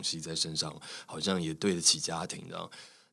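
Audible room echo surrounds a man whose pitch is very deep and low. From Taiwan. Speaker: actor and radio host. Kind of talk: interview conversation.

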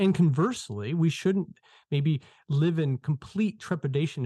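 A man speaks at a moderate pace in a somewhat breathy, dark and mellow tone, recorded with a dry, close sound and no echo. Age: 40s. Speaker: author. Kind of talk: interview.

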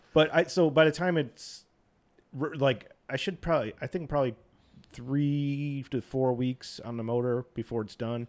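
With an American accent, a man speaks in a plain, everyday voice at a fairly high pitch. His pace is moderate and his pitch variation ordinary. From US East Coast. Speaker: car club member. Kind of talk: casual roundtable chat. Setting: studio.

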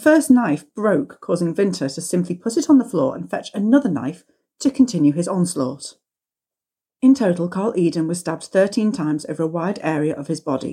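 Delivered at a fairly quick pace, the voice has a dark, mellow tone and very wide pitch swings. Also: woman, fairly low pitch for a woman. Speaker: true crime podcast co-host. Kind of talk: reading aloud.

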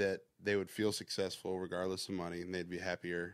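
A man with a Southern US accent is heard in a very clean recording with a silent background. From US South, Georgia. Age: 30s. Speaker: music producer and songwriter. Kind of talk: casual interview chat.

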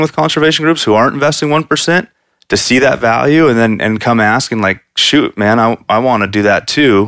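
With a plain, everyday voice, a man talks at medium pitch and a fairly quick pace with lively intonation. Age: 30s. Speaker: conservation business founder. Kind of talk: casual chat.

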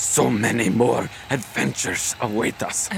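Over clear background noise, a man puts on a character voice at a medium pitch and moderate pace. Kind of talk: comic overacting. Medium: audio drama. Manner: formal, archaic, grandiose.

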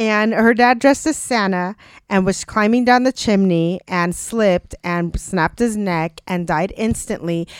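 A woman with an unremarkable speaking voice, medium pitch and ordinary pitch variation speaks at a fairly slow pace, recorded very cleanly against a silent background with a dry, close sound and no echo. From Mexican-American, US. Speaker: podcast co-host for the episode. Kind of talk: casual chat.

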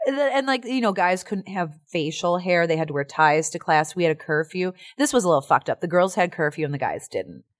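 On a very clean recording with a silent background and a dry, close sound with no echo, a woman with a Chicago accent and a fairly low pitch speaks at a very fast pace with hardly any pauses, her tone animated and intonation lively. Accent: Chicago-area American. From US Midwest, Chicago area. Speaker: actor and musician. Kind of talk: casual interview chat. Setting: studio. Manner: animated, laughing often.

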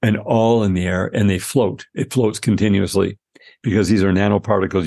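A man's fairly low voice moves along at a fairly quick pace. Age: 60s. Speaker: supplement company CEO. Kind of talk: casual interview.

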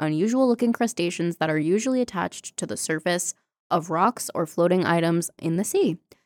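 There is an ordinary speaking voice here: a woman with a fairly low pitch, lively intonation and an American accent. The very clean recording is dry and close, with no echo and a silent background. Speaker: podcast co-host. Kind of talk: reading aloud.

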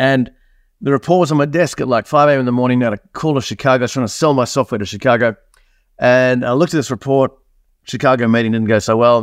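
A man with an Australian accent at a very fast pace, dry and close with no echo, quiet background. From Australia, born in New Zealand. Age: 50s. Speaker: business coach and entrepreneur. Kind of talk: interview. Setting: video call. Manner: animated.

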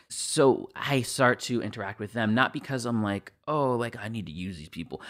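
A man talks with ordinary pitch variation. He has an ordinary speaking voice. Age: 20s. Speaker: voice actor. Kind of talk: casual chat.

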